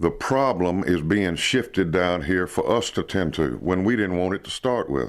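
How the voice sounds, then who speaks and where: A man with a very deep, low pitch and lively intonation talks at a moderate pace with hardly any pauses, on a very clean recording with a silent background. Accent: Alabama. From US South, Perry County, Alabama. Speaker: local resident. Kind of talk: interview.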